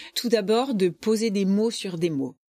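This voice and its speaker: A woman's medium-pitched voice with lively intonation and an animated tone, at a moderate pace, in a dry, close sound with no echo. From rural France. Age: 50s. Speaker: charity president. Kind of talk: interview.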